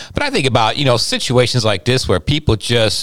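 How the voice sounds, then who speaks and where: A fairly quick pace from a man with an unremarkable speaking voice, his pitch medium and his pitch variation ordinary. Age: 50s. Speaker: pastor and podcast co-host. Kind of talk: casual chat.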